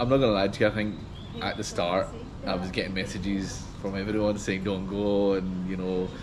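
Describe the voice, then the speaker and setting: Over noticeable background noise and audible room echo, a man with a Scottish accent talks at a very fast pace in a very deep, low pitch and a monotone, flat intonation. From Scotland, Glasgow. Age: 30s. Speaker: gas engineer on a pilgrimage tour. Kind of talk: testimonial interview. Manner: casual, hesitant with fillers.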